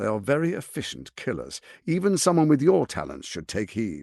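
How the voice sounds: A man's put-on character voice with vocal fry, very wide pitch swings and a slightly mellow tone, in a very clean recording with a silent background. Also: medium pitch for a man, moderate pace.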